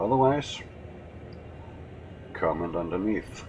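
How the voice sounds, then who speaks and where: A man speaks with a Danish accent. His pace is moderate and his pitch varies in an ordinary way. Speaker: gaming youtuber. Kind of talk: gameplay commentary. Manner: casual, with hesitations.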